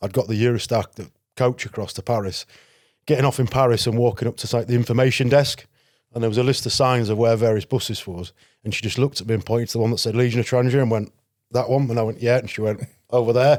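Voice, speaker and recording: With a Yorkshire accent, a man speaks very fast at a medium pitch and fairly even intonation, on a very clean recording with a silent background. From northern England, Selby, North Yorkshire. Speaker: security risk consultant and former legionnaire. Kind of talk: podcast interview. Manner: casual, conversational.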